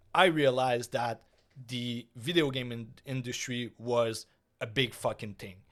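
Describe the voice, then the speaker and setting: Heard in a very clean recording with a silent background, a speaker with a non-native accent goes at a fairly slow pace with fairly even intonation. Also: man. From Quebec. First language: French. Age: 30s. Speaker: gaming streamer and podcast host. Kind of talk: casual solo podcast monologue. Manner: hesitant, many fillers.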